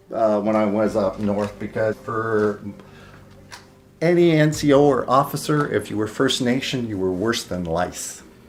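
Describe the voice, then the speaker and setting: Speaking at a fairly slow pace, a man uses a fairly low pitch and lively intonation. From Ottawa, French-Canadian upbringing. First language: French. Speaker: retired police officer. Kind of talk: interview.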